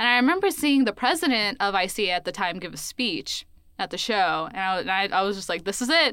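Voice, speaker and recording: On a very clean recording with a silent background, a woman with an American accent speaks very fast at a medium pitch, her tone bright and sharp and her intonation lively. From US South, Columbus, Georgia. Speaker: college student. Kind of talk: casual chat.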